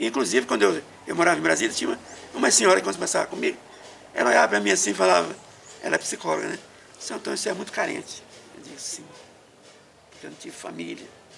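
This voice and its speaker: Against noticeable background noise, a man talks at a very fast pace with big swings in loudness and long, frequent pauses. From Maranhão, Brazil. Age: 60s. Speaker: elderly interviewee telling life story. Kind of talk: oral history interview. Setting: at his home.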